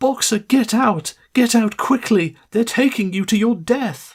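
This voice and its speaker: The speaker uses a put-on character voice pitched fairly high. The delivery moves at a fairly slow pace. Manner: desperate, terrified cry.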